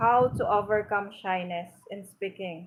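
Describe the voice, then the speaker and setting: In a Filipino accent, a woman speaks at a medium pitch. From Philippines, Pangasinan. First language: Pangasinan. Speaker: vlogger teaching spoken English. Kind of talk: live stream talk to viewers. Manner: halting, with fillers.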